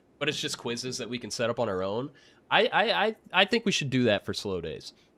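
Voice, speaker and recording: Loud and animated, a man talks at a fairly quick pace on a very clean recording with a silent background. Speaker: live trading stream co-host. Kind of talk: casual chat.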